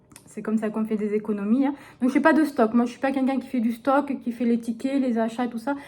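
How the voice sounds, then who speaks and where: A woman with a dark, mellow tone talks at a fairly quick pace in a high pitch, her intonation fairly even. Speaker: vlogger. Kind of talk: casual vlog talk. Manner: hesitant.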